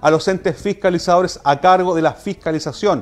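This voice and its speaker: A man with a high pitch at a fairly quick pace, faint music in the background. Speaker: radio host. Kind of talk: news commentary. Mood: earnest, appealing. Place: studio.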